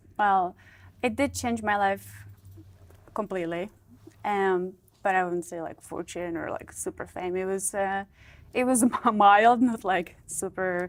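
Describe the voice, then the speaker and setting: A woman's medium-pitched voice with a Czech accent, at a fairly slow pace with fairly even intonation and long, frequent pauses. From Czech Republic. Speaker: model and former playmate. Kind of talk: interview. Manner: halting.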